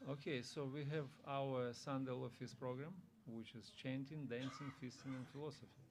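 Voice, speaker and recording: A man with a non-native accent talks at a moderate pace and medium pitch in a monotone, flat intonation. Audible room echo surrounds his voice. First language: not English. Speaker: visiting monk giving a scripture class. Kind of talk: religious class. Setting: temple room with audience.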